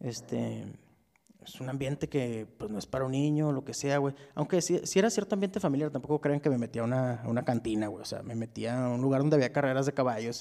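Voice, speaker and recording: A man talks at a very fast pace with a dark, mellow tone. His pitch is medium, with ordinary pitch variation. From Ciudad Juárez, northern Mexico. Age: 30s. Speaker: podcast host. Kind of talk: casual chat. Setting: remote call.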